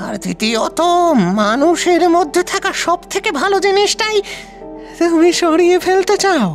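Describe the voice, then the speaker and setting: Someone uses a put-on character voice at a fairly slow pace. Clear music sounds in the background. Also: man. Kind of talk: audio drama dialogue. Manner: slow, deliberate.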